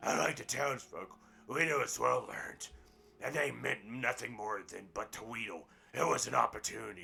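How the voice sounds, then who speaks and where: Over background music, a man does a raspy, put-on character voice at a medium pitch and moderate pace, with big swings in loudness. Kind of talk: halting fable read-aloud. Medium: game stream. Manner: stumbling, self-correcting.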